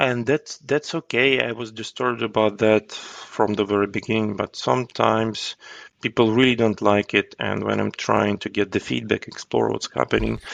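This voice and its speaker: The speaker has a Ukrainian accent. The sound is dry and close, with no echo. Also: man, fairly low pitch for a man, ordinary pitch variation, moderate pace. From Ukraine. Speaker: agile coach. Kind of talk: podcast interview answer.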